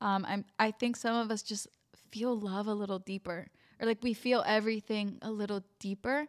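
In a very clean recording with a silent background, a woman speaks in an ordinary speaking voice at a moderate pace, her pitch fairly high and her intonation fairly even. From US, Mexican-American family. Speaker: podcast host. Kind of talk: casual chat.

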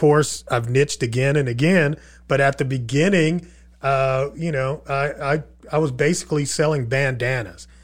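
Recorded very cleanly against a silent background, a man with a fairly high pitch speaks at a moderate pace in a somewhat breathy voice with fairly even intonation. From Texas (Irving), born in Queens, New York. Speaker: e-commerce entrepreneur and speaker. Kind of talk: casual interview chat. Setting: studio.

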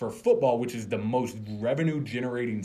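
A somewhat breathy man with an American accent speaks with ordinary pitch variation. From Florida, outside Tampa. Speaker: sports fan guest, former college football player. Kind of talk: casual chat.

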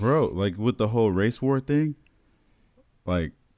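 The recording is very clean, and the background is silent. The man has an American accent. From US Midwest, South Bend, Indiana. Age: 20s. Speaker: podcast co-host. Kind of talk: casual chat.

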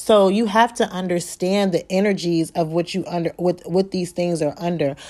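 A woman speaks with a fairly low, dark, mellow voice and fairly even intonation. She hardly pauses at all. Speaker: podcast host and tantric massage therapist. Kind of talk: solo podcast monologue. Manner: fast.

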